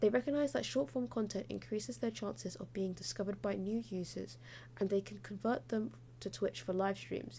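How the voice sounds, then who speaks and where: A woman of medium pitch speaks at a fairly quick pace with very wide pitch swings, vocal fry and a dark, mellow tone. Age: 20s. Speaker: podcast host and student. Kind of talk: scripted narration.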